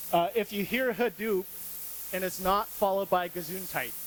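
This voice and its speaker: A man talks loudly in an American accent. His pitch is high. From US, rural Montana. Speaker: UX designer, conference speaker. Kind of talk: conference talk. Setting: stage with audience.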